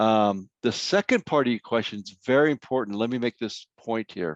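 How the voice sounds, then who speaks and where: A man's ordinary speaking voice with an American accent, medium in pitch, fairly slow, with ordinary pitch variation, dry and close with no echo over a quiet background. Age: 60s. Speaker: grief counselor, workshop speaker. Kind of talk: workshop Q&A answers. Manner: conversational.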